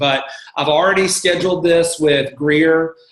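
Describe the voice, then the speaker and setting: Moderate pace and fairly even intonation amid noticeable background noise. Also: man. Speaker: church staff member leading volunteer training. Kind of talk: coaching call presentation.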